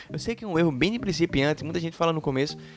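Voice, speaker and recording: At a very fast pace, a man speaks in a fairly high pitch with lively intonation. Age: 20s. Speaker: podcast co-host, software developer. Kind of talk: casual chat.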